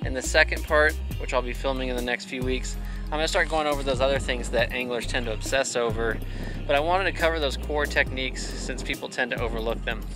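Against clear music in the background, a man talks at a very fast pace in a dry sound with no echo. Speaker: fishing channel host. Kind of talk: tutorial. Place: waterside. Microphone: phone near.

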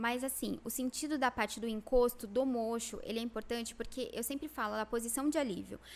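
A woman speaks at a fairly quick pace in a high pitch, her intonation flat and monotone. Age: 30s. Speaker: lash designer and educator; educator. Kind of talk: interview. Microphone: studio mic.

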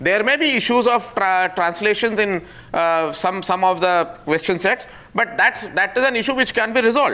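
Projecting a raised voice, a man with an Indian accent speaks high for a man at a moderate pace, with ordinary pitch variation and very even loudness. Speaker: association representative, debate panelist. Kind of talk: heated debate. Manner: measured, hesitant. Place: studio.

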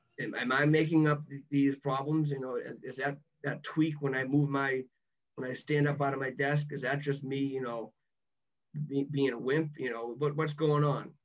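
A man with a Boston accent, fairly high-pitched, in a flat monotone against a quiet background. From Massachusetts. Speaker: former college athlete; podcast guest. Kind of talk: podcast interview answer. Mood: reflective, recalling frustration. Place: home room. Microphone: video call.

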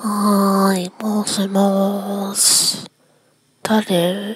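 In a put-on character voice, a woman speaks at a very slow pace. Her medium pitch holds a monotone, flat intonation. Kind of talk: comic sketch acting. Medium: comedy sketch. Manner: suspicious, teasing.

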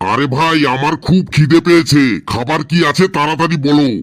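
Using a cartoonish character voice, a man talks at a moderate pace with a fairly high pitch and ordinary pitch variation. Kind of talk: comic cartoon dubbing. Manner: bossy, irritable.

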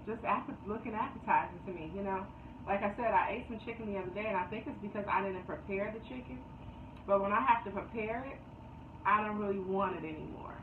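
A woman speaks at a very fast pace with ordinary pitch variation and big swings in loudness. Noticeable background noise runs underneath. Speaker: vlogger. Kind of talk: casual vlog chat. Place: home room. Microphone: phone near.

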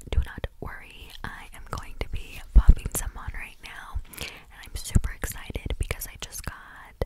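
A woman at a fairly slow pace, dry with no echo, under loud background noise. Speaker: ASMR creator. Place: home room. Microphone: studio mic.

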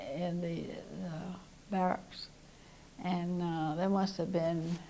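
A woman with an American accent speaks very slowly at a fairly low pitch, her dark, mellow tone held in a flat monotone over light background noise. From US South, Georgia. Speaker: war veteran. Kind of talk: oral history interview. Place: studio.

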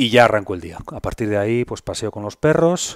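At a moderate pace, the speech comes through dry with no echo against a quiet background. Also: man. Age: 50s. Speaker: health content creator. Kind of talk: interview conversation. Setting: in person at host's home. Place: home room. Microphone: headset.

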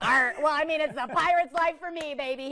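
A put-on character voice pitched high, delivered at a moderate pace. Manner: playful.

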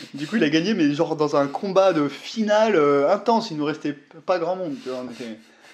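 An ordinary speaking voice at a moderate pace, with lively intonation and hardly any pauses. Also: man, fairly high pitch for a man. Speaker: YouTuber, miniature wargaming hobbyist. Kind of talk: casual chat.

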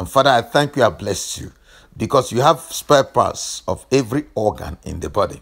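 A man of medium pitch with an intense tone and moderate pace. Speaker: deliverance preacher and health teacher. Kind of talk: fervent deliverance prayer, commanding and declarative. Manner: intense, incantatory rhythm with repeated 'let the fire'.

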